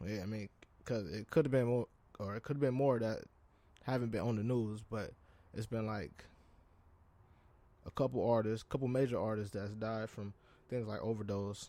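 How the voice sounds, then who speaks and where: At a moderate pace with long, frequent pauses, a man speaks in a dark, mellow tone at a medium pitch with fairly even intonation. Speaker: podcast host. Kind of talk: casual solo podcast talk. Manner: halting, with fillers and repeats.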